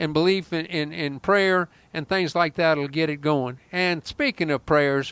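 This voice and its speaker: The recording is very clean, with a silent background. A man talks fairly slowly in a fairly high, animated tone. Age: 60s. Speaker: talk show host. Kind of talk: casual talk show chat.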